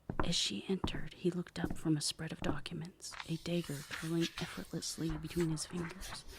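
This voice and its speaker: A woman whispers at a fairly quick pace with hardly any pauses, over noticeable background noise. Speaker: author and ASMR narrator. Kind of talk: ASMR reading aloud of fiction. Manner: whispered.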